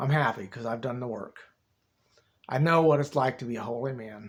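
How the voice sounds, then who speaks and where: A man's put-on character voice, raspy, medium in pitch, at a fairly quick pace. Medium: solo performance. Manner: rambling, folksy, repetitive.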